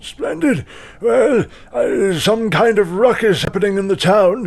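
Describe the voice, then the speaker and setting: A man's put-on character voice, high in pitch with ordinary pitch variation, at a fairly slow pace. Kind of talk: aristocratic old-fashioned speech. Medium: actual play. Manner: pompous, grandiloquent.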